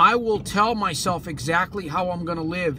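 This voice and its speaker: Over music in the background, a speaker with an American accent talks at a moderate pace in an energetic tone with ordinary pitch variation. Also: man. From California. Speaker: motivational speaker. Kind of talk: motivational talk to camera. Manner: energetic, emphatic.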